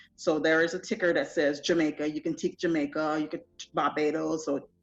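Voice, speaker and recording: Over music in the background, a woman with a fairly low pitch talks at a moderate pace. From Trinidad and Tobago, raised mostly in the US. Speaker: festival founder. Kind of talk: interview.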